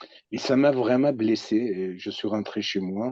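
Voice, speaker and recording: Speaking very slowly, a man uses a fairly low voice with a dark, mellow tone and ordinary pitch variation. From Iraqi Kurdistan. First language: Kurdish (speaking French). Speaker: psychoanalyst. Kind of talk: personal testimony. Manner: halting.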